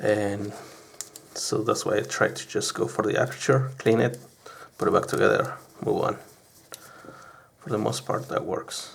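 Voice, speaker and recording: Speech moves at a moderate pace with long, frequent pauses. Noticeable background noise sits behind it. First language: not English. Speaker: hobbyist camera repairer. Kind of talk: unedited tutorial. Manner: halting.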